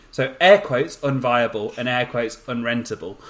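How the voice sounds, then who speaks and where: Speaking with a Birmingham accent, a man keeps a medium pitch and a moderate pace. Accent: Birmingham (Brummie). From Birmingham, English Midlands. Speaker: podcast host. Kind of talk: casual chat. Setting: audio-only podcast recording. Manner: hesitant, many fillers.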